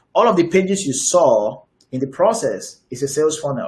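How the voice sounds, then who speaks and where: Speaking somewhat breathily, a man keeps to a moderate pace. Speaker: digital marketing coach. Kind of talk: webinar presentation. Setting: online webinar with screen share. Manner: halting, frequent fillers and repeats.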